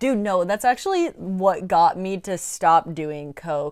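In a normal speaking voice, a woman with an American accent talks at a fairly slow pace and medium pitch, recorded very cleanly against a silent background. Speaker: co-host. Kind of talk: casual banter.

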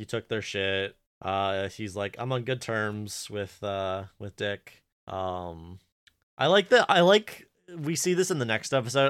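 The recording is very clean with a silent background, carrying a man's fairly low voice. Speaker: podcast co-host. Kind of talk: casual chat. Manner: halting, self-interrupting.

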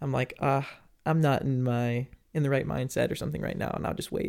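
At a moderate pace, a man talks in a squeaky, fairly high voice. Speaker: singer-songwriter and music producer. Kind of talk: casual interview chat. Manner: laughs often.

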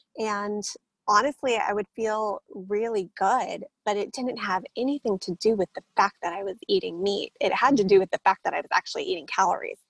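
A woman's fairly high voice at a moderate pace, with ordinary pitch variation, in a dry, close sound without echo. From San Diego, California. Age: 30s. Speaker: vegan advocate and fitness trainer. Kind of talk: interview.

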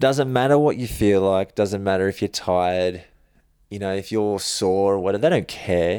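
Speaking at a moderate pace with an Australian accent, a man uses a fairly low, dark, mellow voice with ordinary pitch variation in a very clean recording with a silent background. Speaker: stuntman. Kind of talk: casual chat.

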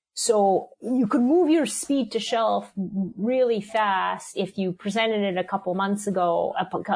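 Here is a woman with a plain, everyday voice and a medium pitch. Her pitch variation is ordinary and her pace fairly slow. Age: 50s. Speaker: food company CEO. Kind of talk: interview.

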